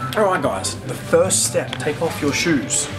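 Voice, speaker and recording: A man with an Australian accent over clear background music. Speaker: vlogger. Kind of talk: casual talk to camera. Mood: joking, playful. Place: shop. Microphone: phone near.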